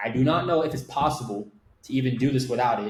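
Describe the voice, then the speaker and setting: A man speaks at a fairly quick pace with an American accent, his voice somewhat breathy. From Miami, Florida. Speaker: agency owner. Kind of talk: interview storytelling. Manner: casual, filler-heavy.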